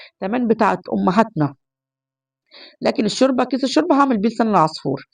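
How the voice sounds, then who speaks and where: A woman's fairly high voice with vocal fry, very wide pitch swings and a very fast pace. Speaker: home cooking vlogger. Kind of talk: cooking tutorial. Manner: chatty.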